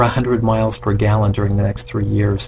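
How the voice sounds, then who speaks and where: A man talks at a fairly low pitch. Background noise is noticeable. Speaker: real estate economist presenting webinar. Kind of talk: webinar presentation. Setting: online webinar. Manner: fast.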